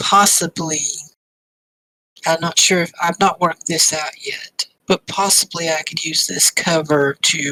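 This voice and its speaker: A raspy, put-on character voice at middle pitch moves at a moderate pace. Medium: actual play. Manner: businesslike, calculating.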